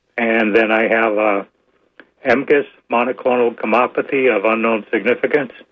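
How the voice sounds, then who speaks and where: A man talks at a moderate pace with a medium pitch and fairly even intonation. His loudness stays very even in a plain, everyday voice. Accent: American. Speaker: caller. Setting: phone call.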